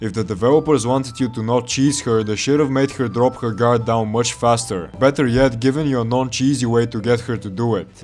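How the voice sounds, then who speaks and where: With music in the background, a man at a medium pitch speaks at a fairly quick pace with fairly even intonation and hardly any pauses. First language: not English. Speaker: video game reviewer. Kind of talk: scripted narration.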